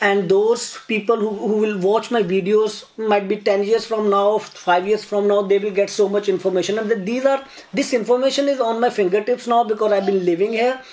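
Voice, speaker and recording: Speaking with a Pakistani accent at a moderate pace, a man uses a high pitch and fairly even intonation amid noticeable background noise. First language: Urdu. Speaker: YouTuber. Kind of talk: casual chat. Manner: halting.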